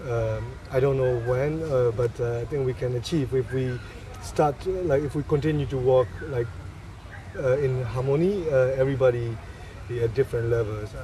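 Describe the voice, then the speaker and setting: Speaking with a Burmese accent, a man uses a medium pitch and ordinary pitch variation at a moderate pace. There is noticeable background noise. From Myanmar. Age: 30s. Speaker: photographer. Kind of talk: interview. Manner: halting.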